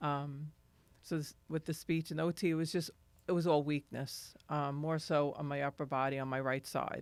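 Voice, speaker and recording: A woman with a very deep, low voice speaks at a moderate pace in monotone, flat intonation, in a very clean recording with a silent background. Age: 60s. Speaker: stroke survivor. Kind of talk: testimony. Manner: halting.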